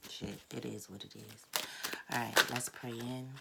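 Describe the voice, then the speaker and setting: The speaker is soft-spoken and talks at a moderate pace over noticeable background noise. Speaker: tarot reader. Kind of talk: tarot reading monologue. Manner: casual, hesitant with many fillers.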